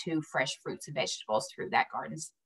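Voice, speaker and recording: A woman's fairly low voice with a strong West Virginia accent. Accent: West Virginian, strong. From US South, West Virginia. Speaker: community program presenter. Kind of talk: council meeting presentation.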